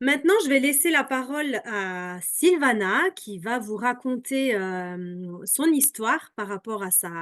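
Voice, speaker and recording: Against a quiet background, a woman with a high pitch talks at a very slow pace with hardly any pauses. Her pitch swings very widely and her loudness shifts in big swings. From Alsace, France. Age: 30s. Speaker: product seller. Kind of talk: presentation. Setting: video call.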